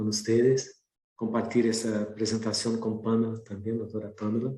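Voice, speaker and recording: Somewhat breathy, a man talks at a fairly slow pace in a Brazilian accent, with audible room echo. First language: Portuguese (speaking Spanish). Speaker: professor and researcher. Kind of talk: lecture. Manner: hesitant, with fillers and repetitions.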